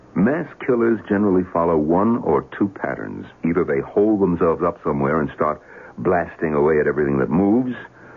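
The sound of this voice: A man puts on a character voice, pitched low with vocal fry and a slightly husky edge. He moves at a fairly quick pace with lively intonation.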